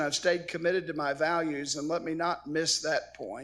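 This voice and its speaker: A man with an American accent speaks in a fairly high pitch at a moderate pace. The recording is very clean, with a silent background. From southern Illinois, rural. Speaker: commencement speaker. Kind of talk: commencement address.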